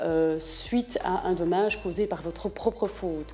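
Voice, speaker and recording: A woman's medium pitch with ordinary pitch variation. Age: 40s. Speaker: lawyer. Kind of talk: TV interview. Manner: hesitant, many fillers.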